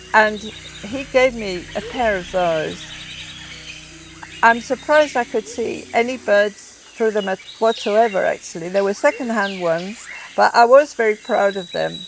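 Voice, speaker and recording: Speaking fairly slowly with a northern English accent, a woman has a fairly high pitch and ordinary pitch variation amid noticeable background noise. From northern England, County Durham. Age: 70s. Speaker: ornithologist. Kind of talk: documentary interview. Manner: halting.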